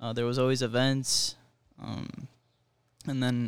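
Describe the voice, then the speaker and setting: A man with an ordinary speaking voice, medium pitch and a fairly slow pace. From Miami, Florida. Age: 20s. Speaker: college baseball player. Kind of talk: interview.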